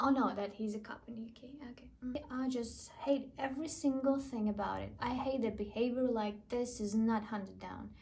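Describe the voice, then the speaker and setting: A woman with a non-native accent speaks at a fairly high pitch with fairly even intonation. Her loudness swings widely, and the room echo is audible. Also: moderate pace, hardly any pauses. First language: not English. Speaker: YouTuber reading online comments. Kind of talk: reading comments aloud with reactions.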